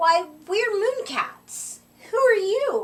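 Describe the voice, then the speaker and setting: A woman does a put-on character voice. It is squeaky and extremely high in pitch. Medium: read story. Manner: sweet, coaxing.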